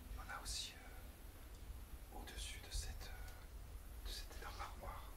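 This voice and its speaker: A man whispering at a very slow pace with very even loudness, audible room echo and noticeable background noise. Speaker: urban explorer, video creator. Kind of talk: walkthrough narration. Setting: indoors in abandoned farmhouse. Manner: hesitant, many fillers.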